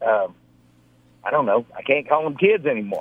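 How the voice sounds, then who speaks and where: A man's voice at a medium pitch. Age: 50s. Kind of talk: casual chat.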